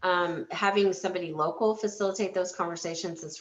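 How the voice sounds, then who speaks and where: Noticeable background noise sits behind a woman's voice. She talks at a moderate pace and a fairly low pitch. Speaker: healthcare organization leader. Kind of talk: webinar presentation. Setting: webinar.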